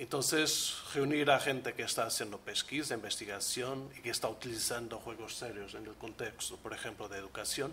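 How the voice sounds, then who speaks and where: Hardly pausing, a man speaks in a Portuguese accent with big swings in loudness and ordinary pitch variation, amid audible room echo. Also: medium pitch for a man, moderate pace. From Portugal, Porto. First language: Portuguese (speaking Spanish). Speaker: researcher, leader of a European project. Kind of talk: conference presentation.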